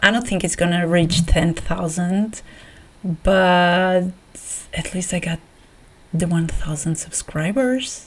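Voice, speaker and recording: A woman with a non-native accent speaks at a fairly low pitch with ordinary pitch variation. Her pace is very slow, with long, frequent pauses. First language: not English. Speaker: art YouTuber. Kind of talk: casual vlog. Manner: halting, many repeats; animated.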